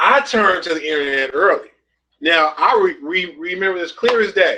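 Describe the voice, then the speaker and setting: With a raised, projected voice and a bright, sharp tone, a man talks at a high pitch using lively intonation. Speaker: network marketing trainer. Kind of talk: webinar teaching talk. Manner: halting.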